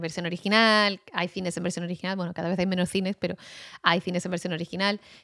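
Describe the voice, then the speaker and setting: Over a silent background on a very clean recording, a woman talks at a very fast pace in a medium pitch, with a dry, close sound and no echo. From Basque Country, Spain. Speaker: writer and audio documentary producer. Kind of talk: casual chat.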